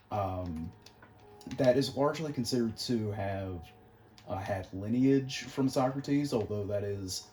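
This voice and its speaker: Soft-spoken and at a moderate pace, a man talks in a fairly low pitch with ordinary pitch variation over noticeable background noise. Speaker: gaming youtuber talking philosophy. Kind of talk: casual gameplay commentary. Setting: at home, late at night. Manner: soft-spoken, talking quietly; hesitant, many fillers.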